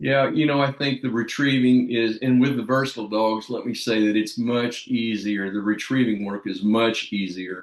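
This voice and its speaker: A man's normal speaking voice, medium in pitch, at a moderate pace with hardly any pauses. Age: 60s. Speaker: dog trainer. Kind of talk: casual chat.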